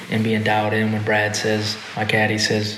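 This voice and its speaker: Noticeable background noise and audible room echo fill this recording. A man talks at a moderate pace in a fairly low pitch, his intonation monotone and flat. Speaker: professional golfer. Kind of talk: casual interview.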